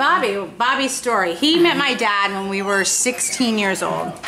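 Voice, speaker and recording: With an American accent, a woman speaks at a fairly slow pace and a high pitch, her pitch swinging very widely with hardly any pauses, amid audible room echo and noticeable background noise. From Florida (Jupiter). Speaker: storyteller at a wedding video. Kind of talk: casual chat. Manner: animated.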